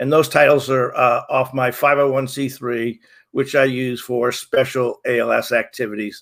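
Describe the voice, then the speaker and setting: The background is silent and the recording very clean. A man talks at a moderate pace. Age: 60s. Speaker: person with ALS sharing personal story. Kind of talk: personal testimony. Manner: halting, many fillers.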